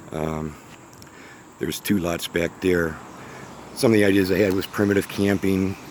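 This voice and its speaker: Very deep, low pitch from a man with an American accent, fairly even intonation, a moderate pace and long, frequent pauses, against noticeable background noise. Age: 60s. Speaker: small business owner. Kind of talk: casual unscripted vlog narration. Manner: halting, many fillers.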